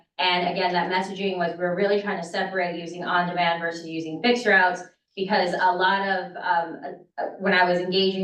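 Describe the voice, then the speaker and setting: A woman talks at a fairly quick pace, with audible echo from the room. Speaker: transit agency marketing staff. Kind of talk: board meeting presentation. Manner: soft-spoken; animated.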